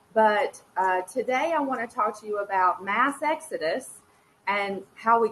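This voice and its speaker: With an American accent, a woman speaks at a fairly slow pace. Her fairly high voice has lively intonation. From North Carolina, US. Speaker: former teacher, education advocate. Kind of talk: conference presentation. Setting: online presentation with screen share. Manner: halting.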